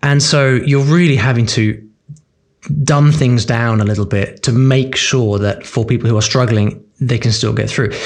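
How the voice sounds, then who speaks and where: With a British accent, a man speaks at a moderate pace and medium pitch, his loudness very even. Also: ordinary pitch variation. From UK. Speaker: language learning author and course creator. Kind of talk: interview.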